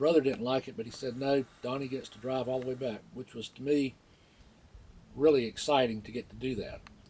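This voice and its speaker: Using a Florida accent, a man talks at a fairly quick pace in a medium pitch, his intonation fairly even but his loudness swinging a lot. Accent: Southern US (Florida). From northeast Florida. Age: 60s. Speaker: local resident telling a memory. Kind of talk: personal storytelling. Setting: outdoors by the water. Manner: casual, with many fillers.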